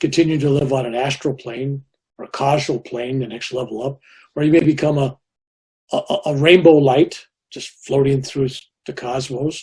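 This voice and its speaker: The voice is somewhat breathy, with a dark, mellow tone and fairly even intonation. It moves at a moderate pace, with big swings in loudness. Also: man, fairly high pitch for a man. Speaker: Vietnam War veteran, spiritual teacher. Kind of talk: interview answer.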